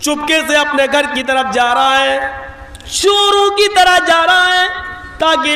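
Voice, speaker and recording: A raised, projected voice with ordinary pitch variation carries through audible room echo and noticeable background noise. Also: man. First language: not Bengali (speaks Hindi/Urdu) (speaking Hindi). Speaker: Islamic preacher. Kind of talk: religious sermon with storytelling.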